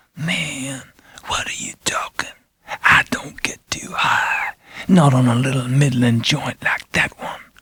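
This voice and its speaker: A whispering, put-on character voice at a fairly slow pace. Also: man. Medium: read story.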